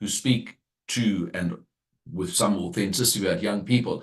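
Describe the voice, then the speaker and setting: A plain, everyday voice, this man's is fairly low in pitch, with ordinary pitch variation at a moderate pace. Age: 60s. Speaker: former party leader, political analyst. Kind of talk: radio interview.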